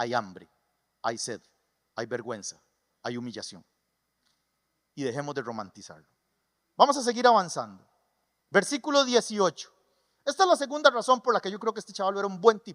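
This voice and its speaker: With a Costa Rican creole accent, a man speaks at a fairly quick pace in an animated tone, his pitch swinging very widely and his loudness shifting a lot, with long, frequent pauses and a dry, close sound with no echo. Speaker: pastor. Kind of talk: sermon. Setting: church.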